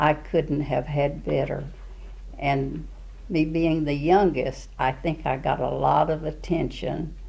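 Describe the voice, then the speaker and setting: A woman speaking at a very slow pace with a Southern US accent. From Arkansas. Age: 80s+. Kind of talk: interview answer. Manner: hesitant, halting.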